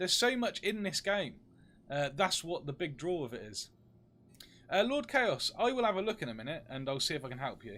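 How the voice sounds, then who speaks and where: A man's high-pitched, bright, sharp voice at a fairly quick pace, with very wide pitch swings, on a very clean recording with a silent background. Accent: British. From UK. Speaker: game streamer. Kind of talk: live gameplay stream chat.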